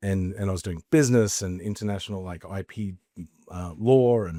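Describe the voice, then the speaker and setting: In an Australian accent, a man with a fairly low pitch speaks at a fairly slow pace with ordinary pitch variation on a very clean recording with a silent background. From Australia, Queensland (Mackay). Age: 40s. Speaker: entrepreneur, former actor. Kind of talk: podcast interview.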